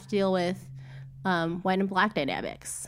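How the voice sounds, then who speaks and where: A woman speaks at a moderate pace with a Midwestern US accent. The recording is very clean, with a silent background. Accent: General American, Midwest. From US Midwest, Cleveland area. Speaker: podcast co-host. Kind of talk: casual chat. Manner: hesitant with many fillers.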